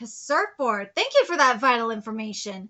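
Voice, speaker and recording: A woman's put-on character voice, fairly high in pitch, at a moderate pace. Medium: read story. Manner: matter-of-fact, analytical.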